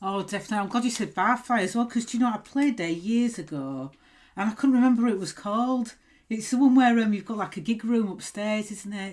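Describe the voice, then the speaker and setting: A woman with a Yorkshire accent speaks at a very fast pace, her voice somewhat breathy and fairly high in pitch with ordinary variation. The recording is very clean, with a silent background. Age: 40s. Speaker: podcast host and punk musician. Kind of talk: casual chat.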